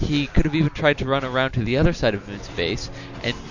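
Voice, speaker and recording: The speech has ordinary pitch variation, with music in the background. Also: man. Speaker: gaming video commentator. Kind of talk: scripted narration. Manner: stuttering.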